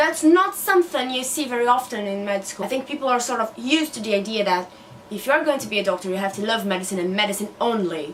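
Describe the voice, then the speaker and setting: Amid noticeable background noise, a woman with a fairly high pitch talks at a very fast pace with lively intonation. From Brazil. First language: Portuguese. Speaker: newly qualified doctor and book vlogger. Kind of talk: casual vlog monologue.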